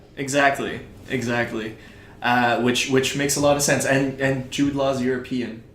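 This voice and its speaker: Monotone, flat intonation from a man at medium pitch, a moderate pace, noticeable background noise and audible room echo. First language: French. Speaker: podcast co-host. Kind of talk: casual chat.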